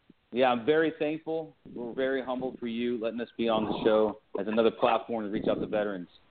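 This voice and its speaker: A man talks very fast in an American accent, at a medium pitch with ordinary pitch variation. He leaves hardly any pauses. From California. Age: 30s. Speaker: army veteran and shoe company founder. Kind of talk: interview.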